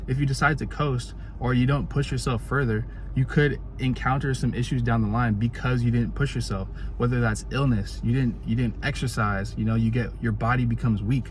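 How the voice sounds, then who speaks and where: A very deep, low male voice with very wide pitch swings at a fairly quick pace, amid noticeable background noise and audible room echo. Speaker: motivational vlogger. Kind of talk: casual motivational monologue. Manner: fast; animated.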